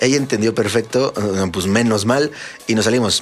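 Noticeable background noise runs beneath a man with a Mexican accent, speaking at medium pitch and a fairly quick pace. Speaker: electronic music podcast host and DJ. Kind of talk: casual chat. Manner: animated.

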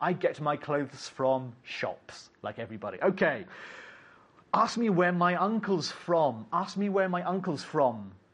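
Spoken at a fairly slow pace with an English accent, the voice has lively intonation. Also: man, high pitch for a man, quiet background. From England. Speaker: English teacher. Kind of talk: lecture.

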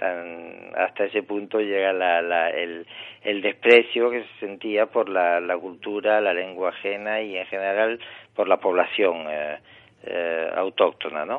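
A man speaks very slowly in a fairly low voice with fairly even intonation. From Morocco (Tangier), Spanish family. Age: 60. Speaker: novelist and secondary school teacher. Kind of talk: interview.

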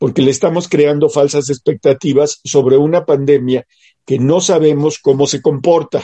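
A man with an ordinary speaking voice talks at a moderate pace, his pitch fairly high and his intonation fairly even. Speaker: political commentary co-host. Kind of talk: casual political chat.

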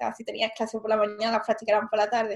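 A woman talking at a fairly quick pace. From Spain, Seville. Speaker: aeronautical engineer turned entrepreneur. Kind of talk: interview.

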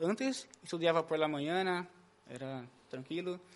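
With a Brazilian accent, a man speaks at a high pitch. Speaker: church musician, former drug user. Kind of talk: testimony.

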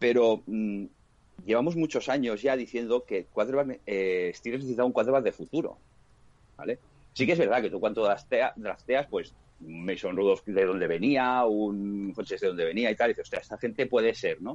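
A man speaks with a Castilian accent at a medium pitch. His pitch varies in an ordinary way, and his pace is moderate. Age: 40s. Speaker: sports fan commentator. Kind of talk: casual chat.

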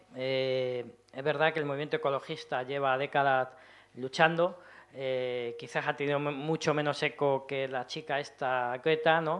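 With a normal speaking voice, a man talks at a fairly slow pace and fairly high pitch, his intonation fairly even. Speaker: poet and event organizer. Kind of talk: poetry reading. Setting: stage with audience.

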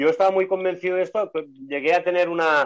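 A man speaks with fairly even intonation. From Barcelona, Spain. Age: 60s. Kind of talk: casual chat. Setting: video call. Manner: fluent talker.

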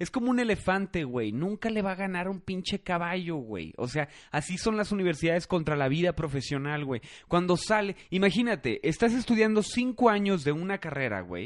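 A man's high-pitched, lively voice with a Mexican accent over a quiet background. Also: moderate pace. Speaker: podcast host. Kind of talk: casual chat.

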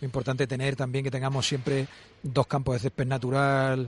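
Somewhat breathy male voice. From Valladolid, Spain. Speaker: football sporting director. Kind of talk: radio interview. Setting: live broadcast from a restaurant.

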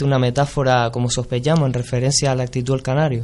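Speaking very fast at a medium pitch, a man is heard against noticeable background noise. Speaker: radio host. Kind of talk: interview.

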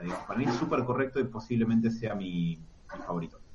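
Somewhat breathy and medium in pitch, a man speaks at a very fast pace with audible room echo. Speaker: comic podcast co-host. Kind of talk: casual chat. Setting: live stream.

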